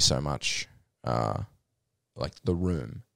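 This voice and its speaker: Very clean recording with a silent background, a man's very deep, low voice with vocal fry at a very slow pace. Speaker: podcast host. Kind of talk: casual chat. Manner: informal, swears casually.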